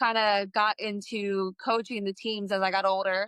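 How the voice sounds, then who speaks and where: In a New Jersey accent, the speaker delivers a monotone, flat line in a bright, sharp tone, recorded dry and close with no echo against a silent background in a very clean recording. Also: woman. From New Jersey, US. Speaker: fitness coach and entrepreneur, Navy veteran. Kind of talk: podcast interview.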